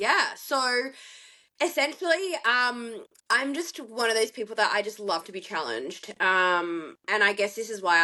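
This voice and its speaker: Speaking fairly slowly with an Australian accent, the voice sounds animated, its pitch swinging very widely over a quiet background. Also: woman. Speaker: bikini athlete and CrossFit competitor. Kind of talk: casual chat.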